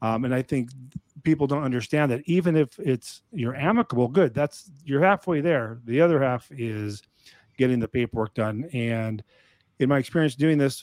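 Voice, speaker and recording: A man talks at a fairly quick pace in a normal speaking voice, fairly high in pitch with ordinary variation. The sound is dry and close, with no echo. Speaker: divorce paperwork service host. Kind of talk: live online office hours Q&A chat. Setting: live video stream on social media.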